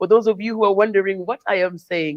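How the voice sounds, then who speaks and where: Fairly even intonation in a dry, close sound with no echo. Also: woman. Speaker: award show host. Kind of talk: live award show hosting. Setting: live stream, Kampala.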